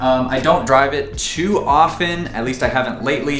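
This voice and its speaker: A man speaks at a moderate pace. The room echo is audible, and there is light background noise. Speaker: car hobbyist vlogger. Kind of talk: casual vlog chat. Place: garage.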